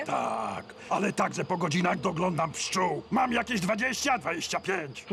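Using a put-on character voice, a man talks at a moderate pace with a high pitch over clear background noise. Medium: fan dub. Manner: tired, glum.

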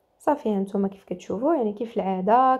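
Speaking with a Moroccan accent, a woman uses a medium pitch with ordinary pitch variation. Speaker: cooking channel host. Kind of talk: cooking tutorial.

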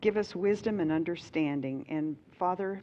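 An ordinary speaking voice, a woman's at a fairly low pitch, with ordinary pitch variation over light background noise. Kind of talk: opening remarks and prayer. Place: hall. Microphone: headset.

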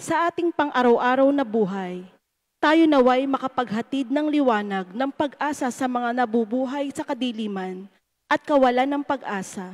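A woman's high-pitched voice at a moderate pace against a quiet background. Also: ordinary pitch variation. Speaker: lector reading petitions; lay reader at Mass. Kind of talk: fervent prayer, intercessions read aloud. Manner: earnest, measured, pleading. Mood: solemn, earnest. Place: church. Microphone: handheld.

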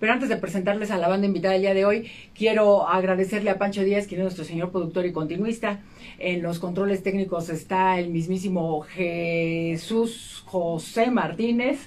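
This woman talks at a moderate pace, her medium-pitched voice keeping fairly even intonation. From Mexico. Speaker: rock radio host. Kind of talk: interview. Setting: radio studio. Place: studio. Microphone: studio mic.

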